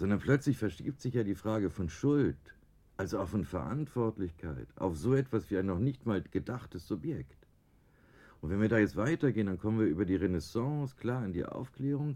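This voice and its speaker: At a moderate pace, a man talks with a fairly low pitch and a dark, mellow tone, his pitch swinging very widely. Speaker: design professor. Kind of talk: radio interview.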